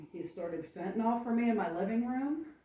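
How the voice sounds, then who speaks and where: A soft-spoken woman talks at a fairly quick pace, with audible room echo and noticeable background noise. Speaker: township resident speaking at public meeting. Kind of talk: public comment at meeting. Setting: township public meeting room. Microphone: microphone not working, too quiet.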